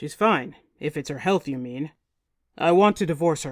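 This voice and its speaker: In a put-on character voice, a woman speaks at a moderate pace with a raspy, very deep, low pitch, recorded very cleanly against a silent background. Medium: read story.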